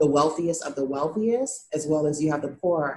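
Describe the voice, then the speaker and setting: The speech has an American accent and fairly even intonation. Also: woman. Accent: American accent in Haitian Creole. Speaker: nonprofit founder. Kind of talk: interview.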